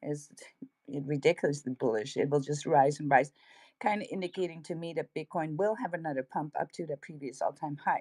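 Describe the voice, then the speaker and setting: In a Dutch accent, a woman talks at a fairly quick pace in a very deep, low voice with ordinary pitch variation. The sound is dry and close, without any echo. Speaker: crypto livestream co-host. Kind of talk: casual livestream market commentary. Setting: livestream.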